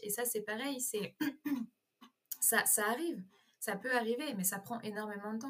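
A woman's somewhat breathy voice sits at a fairly high pitch with ordinary pitch variation. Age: 20s. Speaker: lifestyle content creator. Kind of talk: interview.

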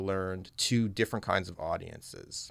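Here is an unremarkable speaking voice, a man with a Canadian accent. He talks at a fairly slow pace with fairly even intonation. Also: very clean recording, silent background. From Western Canada, Calgary, Alberta. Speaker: English professor. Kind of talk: interview.

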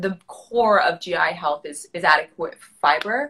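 With an American accent, a woman talks at a fairly slow pace in a bright, sharp tone. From New York City. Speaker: registered dietitian. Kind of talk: casual interview. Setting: video call on cellular connection.

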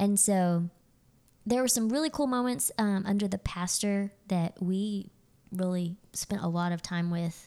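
A dark, mellow tone in an American accent, fairly slow, with ordinary pitch variation and very even loudness. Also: woman, medium pitch for a woman. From Texas, Fort Worth area. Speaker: pastor's wife. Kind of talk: casual chat. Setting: dining room at home.

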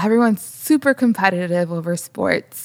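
This is a plain, everyday voice with an American accent and ordinary pitch variation. It moves at a moderate pace, with a dry, close sound and no echo. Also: woman. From Chicago, southwest side. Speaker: podcast co-host, photographer and storyteller. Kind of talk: interview, personal testimony.

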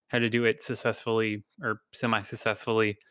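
A man talks at a fairly quick pace in a normal speaking voice. The sound is dry and close, with no echo. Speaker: podcast host. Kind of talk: casual interview chat.

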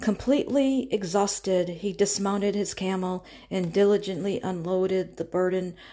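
The speaker uses a natural reading voice throughout.

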